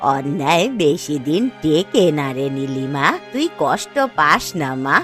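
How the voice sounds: A woman does a cartoonish character voice, low in pitch and fairly bright in tone, with big pitch swings. She speaks slowly over faint music in the background.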